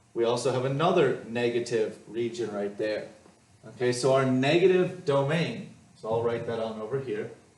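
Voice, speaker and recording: There is audible room echo around a man speaking at a medium pitch. He goes at a moderate pace with ordinary pitch variation. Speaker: math teacher. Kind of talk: lecture.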